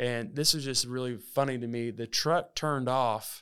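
On a very clean recording with a silent background, a man speaks in a Southern US accent at medium pitch with ordinary pitch variation. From Alabama. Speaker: podcast host. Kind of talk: casual monologue.

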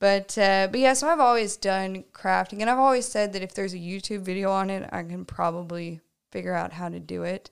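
With an American accent, a woman at medium pitch speaks with ordinary pitch variation and big swings in loudness, on a very clean recording with a silent background. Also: fairly quick pace. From Oklahoma, rural area outside Tulsa. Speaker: leatherworker and podcast co-host. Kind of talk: casual chat. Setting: leather shop.

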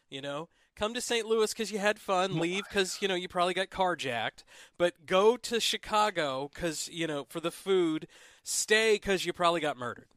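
A man with a Midwestern accent speaks in a high pitch at a fairly quick pace, with ordinary pitch variation. The recording is very clean, dry and close, with a silent background and no echo. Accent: Midwest US. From Southern Illinois. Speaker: podcast host. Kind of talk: casual chat.

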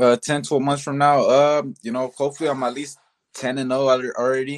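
A normal speaking voice from a man, medium in pitch and fairly quick in pace, in a dry, close sound with no echo. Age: 20s. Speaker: professional boxer. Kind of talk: interview.

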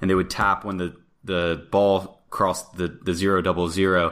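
In an American accent, a man speaks with an unremarkable speaking voice at a fairly low pitch, on a very clean recording with a silent background. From US, Florida. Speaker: podcast co-host. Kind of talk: interview.

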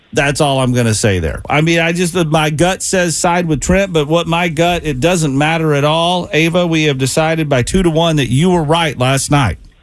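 In a normal speaking voice with an American accent, a man talks at a moderate pace with ordinary pitch variation, very even loudness and hardly any pauses. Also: fairly high pitch for a man. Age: 50s. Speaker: radio host. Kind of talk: radio DJ patter, bantering morning-show chat with co-hosts. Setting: studio.

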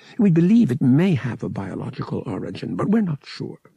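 A man puts on a character voice at medium pitch, dark and mellow with a husky, rough edge and vocal fry. He talks at a fairly quick pace with big pitch swings, in a dry, close sound with no echo.

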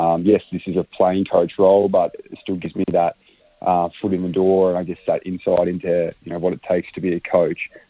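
The pace of this man's speech is fairly quick. He talks with an Australian accent. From Australia, Canberra. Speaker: footballer and playing coach. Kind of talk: interview. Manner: halting.

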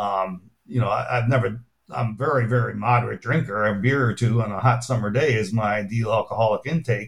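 A man talks at a fairly quick pace with hardly any pauses, sounding somewhat breathy. His loudness stays very even and his intonation fairly even. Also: medium pitch for a man. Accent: American. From US Midwest, Chicago. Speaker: pharmacology professor and author. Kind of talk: interview.

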